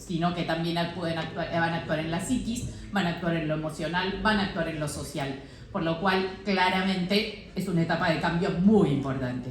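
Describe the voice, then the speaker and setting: Over noticeable background noise with audible room echo, a woman speaks at a fairly low pitch with ordinary pitch variation. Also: moderate pace. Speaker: doctor. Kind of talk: lecture. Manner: loud.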